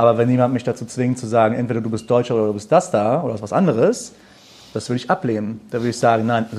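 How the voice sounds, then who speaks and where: Over noticeable background noise, a man speaks at a medium pitch. His pace is very fast. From Germany. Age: 20s. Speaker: musician and videographer. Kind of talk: live panel discussion. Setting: stage with audience.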